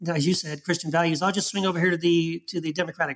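A man with an American accent, high-pitched and very fast, in a monotone, flat delivery. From Texas. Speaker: author and former pastor. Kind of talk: interview.

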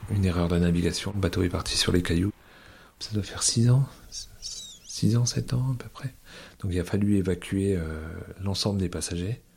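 Speaking at a moderate pace with long, frequent pauses, a man with a fairly low pitch and ordinary pitch variation is heard over noticeable background noise. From Brittany, island of Molène. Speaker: ferry captain. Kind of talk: interview testimony.

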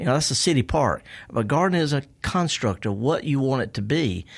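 With a Mississippi accent, a man talks at a fairly quick pace in a fairly high pitch. His pitch swings very widely. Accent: Mississippi Southern. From US South, Mississippi. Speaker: horticulturist and gardening radio host. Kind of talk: casual interview. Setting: radio studio. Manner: halting, repeating words.

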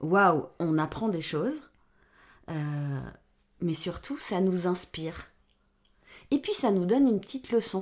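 A woman speaks very slowly, her pitch swinging very widely. Long, frequent pauses break up her speech over a very clean recording with a silent background. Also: medium pitch for a woman. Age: 50s. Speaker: podcast guest, mother of a host. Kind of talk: casual chat.

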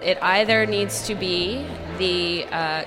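Fairly low for a woman, her voice against clearly audible background noise. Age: 30s. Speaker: radio producer. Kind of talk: casual interview. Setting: festival.

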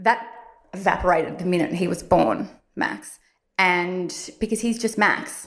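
Speaking fairly slowly in an Australian accent, a woman shows vocal fry. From Australia, Victoria (Warrandyte). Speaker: beauty blogger. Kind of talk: interview testimony.

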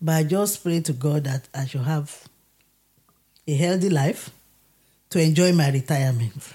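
A woman speaks at a moderate pace with a very deep, low pitch and a dark, mellow tone, somewhat breathy. Her pitch varies in an ordinary way, and she leaves long, frequent pauses. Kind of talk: casual chat.

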